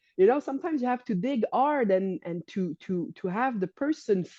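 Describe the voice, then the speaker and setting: Speaking at a moderate pace, a woman with a French accent and a dark, mellow tone uses very wide pitch swings from a fairly high pitch, in a dry, close sound with no echo against a quiet background. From Quebec. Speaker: holistic coach and healer. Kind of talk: podcast interview. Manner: halting, many restarts.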